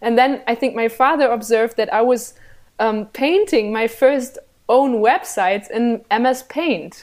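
A woman speaks with a German accent at a high pitch. The recording is very clean, with a silent background. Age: 20s. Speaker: journalist and political show host. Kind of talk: interview.

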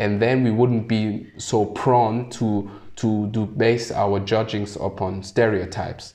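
Speaking very slowly yet with hardly any pauses, a man delivers his words in a fairly low, monotone, flat voice. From Germany (Hesse, small town). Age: 30s. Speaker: finance professional and community founder. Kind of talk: interview. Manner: hesitant, many fillers.

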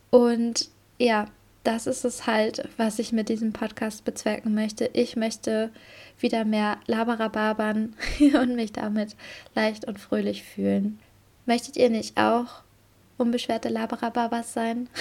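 Pausing long and often, a woman speaks in a somewhat breathy voice at a fairly slow pace, in a very clean recording with a silent background. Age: 20s. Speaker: podcast host, marketing worker. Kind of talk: casual solo monologue.

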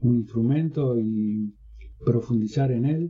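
A man at a very slow pace, medium in pitch, with fairly even intonation. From northern Uruguay. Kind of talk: interview.

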